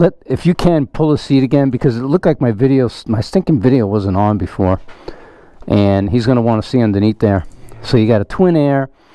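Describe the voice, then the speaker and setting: Speaking at a fairly quick pace, a man with a normal speaking voice uses lively intonation at medium pitch. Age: 60s. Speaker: motorcycle enthusiast test-riding a bike. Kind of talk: casual chat.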